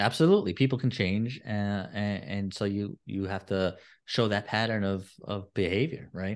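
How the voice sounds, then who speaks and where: In an unremarkable speaking voice, a man with a fairly low pitch talks at a moderate pace with ordinary pitch variation against a quiet background. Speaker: podcast host and divorce coach. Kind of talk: interview. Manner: conversational, casual.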